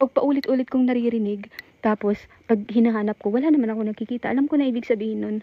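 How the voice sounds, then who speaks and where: A woman whispers. She talks at a very fast pace. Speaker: cemetery explorer vlogger. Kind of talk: live vlog narration. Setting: outdoors in cemetery at night. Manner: whispering.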